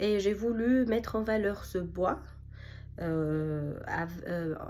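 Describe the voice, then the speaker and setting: A woman speaks very slowly at a medium pitch with lively intonation, and audible room echo surrounds her voice. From Tunisia. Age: 30s. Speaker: architect and small business owner. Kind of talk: self-presentation pitch. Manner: hesitant, many fillers.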